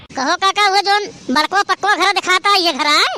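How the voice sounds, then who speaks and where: A cartoonish character voice is pitched extremely high and moves at a fairly quick pace. The sound is dry and close with no echo. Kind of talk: cartoon comic acting.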